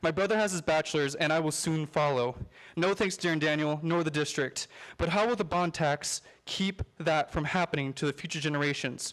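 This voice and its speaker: Very clean, with a silent background, this recording carries an unremarkable speaking voice in an American accent, fairly quick, at very even loudness with ordinary pitch variation. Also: man, fairly high pitch for a man. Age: 20s. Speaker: public commenter, college student. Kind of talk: public comment at school board meeting. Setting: school board meeting room.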